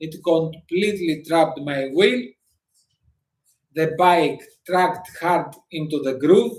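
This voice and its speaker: This man speaks very slowly with a non-native accent, a high pitch, and ordinary pitch variation. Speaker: motorcycle vlogger. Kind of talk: live stream talk. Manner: halting.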